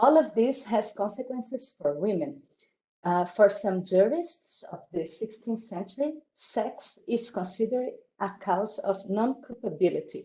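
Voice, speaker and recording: The voice is somewhat breathy, with lively intonation and a Portuguese accent. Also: woman. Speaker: academic conference speaker. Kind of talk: reading aloud. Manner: halting.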